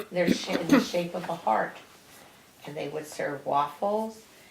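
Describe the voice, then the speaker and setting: A woman talks at a fairly low pitch with ordinary pitch variation, amid audible room echo and noticeable background noise. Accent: American. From New Jersey. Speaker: grandmother interviewed by grandson. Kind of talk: family interview. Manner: casual, halting.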